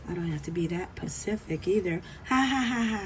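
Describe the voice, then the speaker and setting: A woman speaks in a playful tone. Music runs in the background. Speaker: art teacher. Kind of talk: tutorial. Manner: casual, playful.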